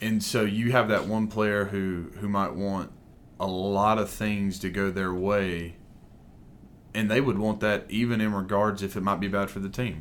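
A man with a fairly low voice speaks at a fairly slow pace in a flat monotone, with audible room echo. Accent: Alabama. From Alabama, US South. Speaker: Bible teacher and coach. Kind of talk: interview conversation.

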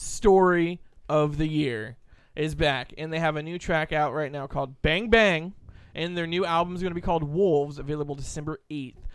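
Very clean and silent in the background, the recording captures a man with a plain, everyday voice. He has a fairly high pitch, ordinary pitch variation and a moderate pace. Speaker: radio host. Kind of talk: radio DJ patter: rowdy, joke-filled banter with co-hosts and station IDs. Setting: radio studio.

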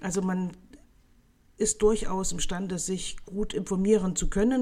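Her voice has a dark, mellow tone at a medium pitch. The woman speaks at a fairly slow pace. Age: 40s. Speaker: nutrition scientist. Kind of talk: expert interview.

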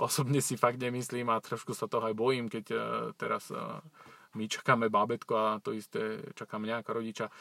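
A man's medium-pitched voice with a bright, sharp tone and monotone, flat intonation, at a fairly quick pace in a dry, close sound with no echo. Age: 40s. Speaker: personal trainer. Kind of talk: personal life story monologue. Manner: halting.

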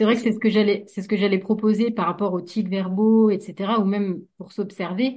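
A woman speaks at a medium pitch and a moderate pace, with hardly any pauses. Her tone is dark and mellow, somewhat breathy, and her intonation is flat and monotone. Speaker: hypnotherapist. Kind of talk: casual discussion. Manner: frequent filler hesitations.

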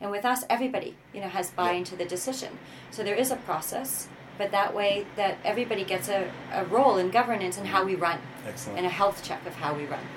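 A woman with a Canadian accent at a very fast pace and medium pitch, with ordinary pitch variation, noticeable background noise and audible room echo. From Canada. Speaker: social entrepreneur. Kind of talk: interview. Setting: in person, Amsterdam.

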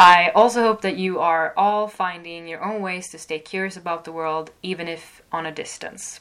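A woman talks at a moderate pace and fairly low pitch. Hers is an ordinary speaking voice. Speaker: podcast host, student radio. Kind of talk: casual interview chat.

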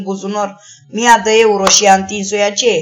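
Over noticeable background noise, a woman speaks at a fairly high pitch and a moderate pace. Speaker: sex worker and activist. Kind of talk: interview.

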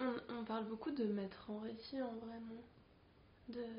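Very slowly, a woman talks in a fairly high voice. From Chile, Santiago. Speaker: artist and educator. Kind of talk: casual interview.

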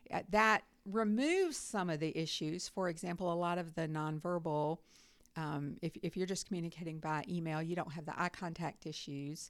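At a moderate pace, a woman with a Southern US accent speaks in a fairly low pitch in a very clean recording with a silent background. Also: ordinary pitch variation. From North Carolina. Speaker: university professor. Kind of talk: interview.

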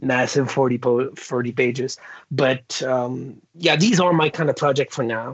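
Speaking in a French Canadian accent, a man talks at a moderate pace and a fairly high pitch with ordinary pitch variation. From Quebec. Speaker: comic book artist. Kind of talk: interview. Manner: halting.

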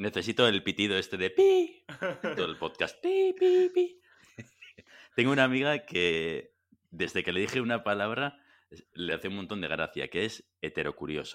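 Long, frequent pauses from a man at a moderate speed. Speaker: podcast host. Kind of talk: casual chat.

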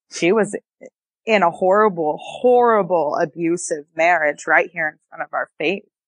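A woman with a slight northern US accent speaks at a moderate pace and fairly low pitch, with ordinary pitch variation, in a dry, close sound with no echo. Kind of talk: casual interview, personal storytelling.

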